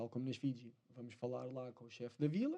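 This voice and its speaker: Speaking at a moderate pace, a man has a European Portuguese accent. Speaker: spearfisherman. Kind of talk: casual chat.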